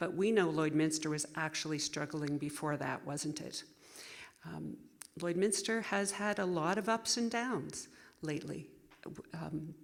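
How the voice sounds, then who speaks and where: At a moderate pace, a woman with a fairly low voice speaks with ordinary pitch variation. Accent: Canadian Prairie. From Saskatchewan, Canada. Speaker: political candidate. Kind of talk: candidate closing statement at public forum. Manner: halting.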